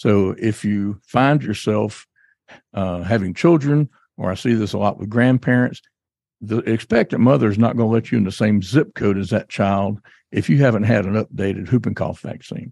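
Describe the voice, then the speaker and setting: A man speaks with a fairly low pitch and a dark, mellow tone. The sound is dry and close with no echo, over a quiet background. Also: ordinary pitch variation, moderate pace. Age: 60s. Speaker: doctor and podcast host. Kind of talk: educational health talk, podcast. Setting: studio, office studio. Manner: conversational, friendly.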